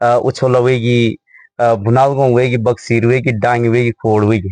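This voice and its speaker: In a dry, close sound with no echo and a quiet background, a man speaks in a medium pitch with flat, monotone intonation and very even loudness. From Uttarakhand, Garhwal. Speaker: local video interviewer. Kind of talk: village interview.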